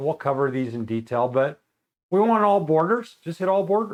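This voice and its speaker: A man in a normal speaking voice, fairly high in pitch, at a fairly quick pace with lively intonation. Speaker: software instructor. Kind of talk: tutorial.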